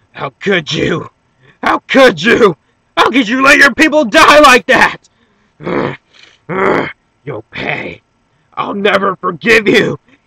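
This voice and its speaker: Projecting loudly in a put-on character voice, a man speaks at a fairly slow pace with a high pitch, very wide pitch swings, and long, frequent pauses. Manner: yelling angrily, accusing.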